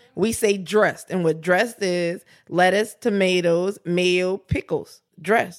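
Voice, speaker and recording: With a New Orleans accent, a woman talks at a fairly slow pace in a medium pitch, her intonation fairly even. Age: 20s. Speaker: podcast co-host. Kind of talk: casual chat.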